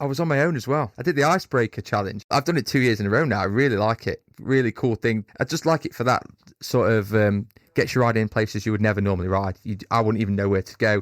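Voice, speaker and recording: A man with a Derbyshire accent talks at a very fast pace in a medium pitch with ordinary pitch variation. The recording is very clean and dry, with a close sound, no echo and a silent background. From Derbyshire, England. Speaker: fitness coach for motorcyclists. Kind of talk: casual interview chat. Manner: animated.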